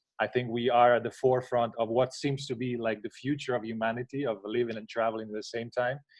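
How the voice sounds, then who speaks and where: Someone talks at a very fast pace with an Italian accent. The intonation is monotone and flat. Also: man. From Italy. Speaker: contest jury member. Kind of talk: self-introduction on a live panel. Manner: halting with many fillers.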